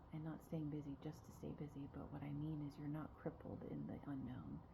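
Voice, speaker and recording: Soft-spoken delivery at a moderate pace, with noticeable background noise and audible room echo. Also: woman. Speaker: spiritual guide. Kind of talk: spiritual talk to camera. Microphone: quiet recording.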